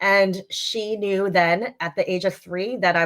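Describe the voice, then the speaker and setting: Her intonation stays fairly even as the woman talks in a medium register. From US Northeast, Long Island. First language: Chinese. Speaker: leadership coach and founder. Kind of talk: interview.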